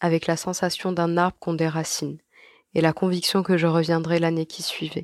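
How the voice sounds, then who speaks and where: Recorded very clean with a silent background and a dry, close sound with no echo, a woman speaks at a fairly low pitch and moderate pace. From Algeria (Algiers). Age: 20s. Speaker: emigrant sharing experience. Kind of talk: scripted narration.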